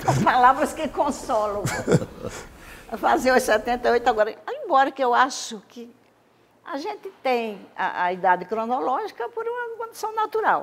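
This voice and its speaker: A woman's high voice at a moderate pace, with very wide pitch swings, big swings in loudness and noticeable background noise. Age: 70s. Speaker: former state legislator. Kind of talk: interview.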